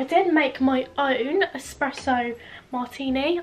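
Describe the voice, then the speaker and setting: A woman speaks at a high pitch over light background noise. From Isle of Wight, England. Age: young. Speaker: lifestyle vlogger. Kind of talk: casual talk to camera. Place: home room. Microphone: camera far.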